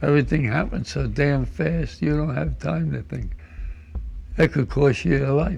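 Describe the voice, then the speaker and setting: This man's voice is very deep and low, with very wide pitch swings. He speaks at a moderate pace. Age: 90s. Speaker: war veteran. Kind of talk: interview. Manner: halting.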